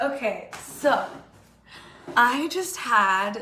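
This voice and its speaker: With noticeable background noise around her, a woman speaks with lively intonation. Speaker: public health graduate student. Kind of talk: casual talk to camera.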